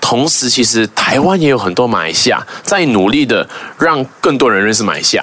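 A man's medium-pitched voice at a fairly quick pace, with lively intonation and noticeable background noise. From Malaysia. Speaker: YouTuber. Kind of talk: casual interview.

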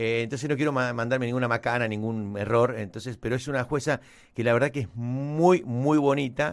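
Here a man speaks at a medium pitch with ordinary variation. The recording is very clean, with a silent background. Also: fairly quick pace. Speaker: podcast co-host. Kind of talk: casual chat. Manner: halting.

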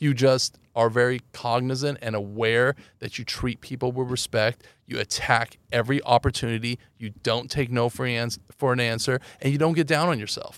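In a Californian accent, a man speaks with a dry, close sound and no echo. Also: medium pitch for a man, moderate pace. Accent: General American (Californian). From Los Angeles. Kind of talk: interview.

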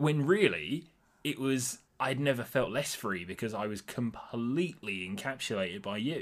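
In a very clean recording with a silent background, a man with a normal speaking voice talks at a moderate pace and medium pitch, with lively intonation. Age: 20s. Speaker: host's boyfriend. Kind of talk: casual chat.

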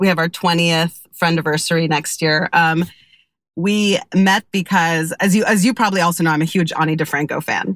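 A woman with an American accent has an unremarkable speaking voice, fairly low in pitch, with fairly even intonation and very even loudness at a moderate pace. The sound is dry and close with no echo, on a very clean recording with a silent background. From Kentucky, US. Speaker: newspaper culture editor. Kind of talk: casual chat.

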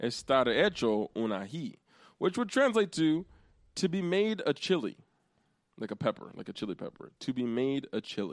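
Here a man talks with an American accent and very wide pitch swings. The recording is very clean, with a silent background. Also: fairly high pitch for a man, moderate pace. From Central Pennsylvania. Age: 20s. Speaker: podcast host and teacher. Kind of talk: casual chat.

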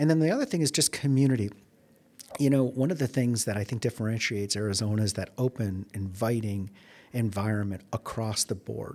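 In a very clean recording with a silent background, a man with an American accent and an unremarkable speaking voice talks at a fairly quick pace. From Chicago, US Midwest. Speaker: economic development executive. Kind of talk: interview. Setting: in-person recording at a conference.

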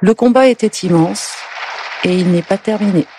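Ordinary pitch variation at a moderate pace, with a dry, close sound and no echo. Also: woman. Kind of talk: reading aloud a letter.

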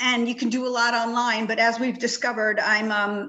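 This voice moves at a moderate pace. It comes with a New York accent. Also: woman. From Long Island, New York. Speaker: children's book author. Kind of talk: interview.

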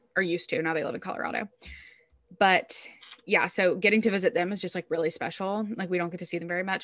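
Very fast and medium in pitch, a woman with an American accent speaks with ordinary pitch variation. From US South. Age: 20s. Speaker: podcast co-host. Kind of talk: casual chat. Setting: recorded on video. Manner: animated.

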